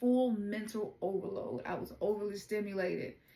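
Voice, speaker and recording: A woman speaks with a Southern US accent and a fairly high pitch. Her pace is moderate, and her pitch varies in an ordinary way. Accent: Southern twang. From US South, Memphis, Tennessee. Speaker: oracle card reader. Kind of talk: tarot reading.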